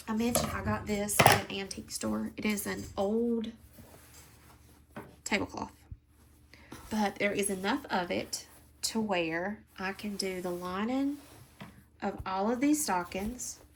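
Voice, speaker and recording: Somewhat breathy, a woman speaks at a medium pitch with ordinary pitch variation. Her pace is fairly slow, with long, frequent pauses. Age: 40s. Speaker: crafting channel host. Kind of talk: casual stitch-along chat.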